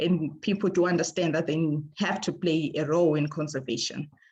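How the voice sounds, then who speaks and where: A somewhat breathy woman's voice, fairly low in pitch, at a moderate pace against a quiet background. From Zimbabwe. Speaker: ecologist. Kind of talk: presentation. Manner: halting, many fillers.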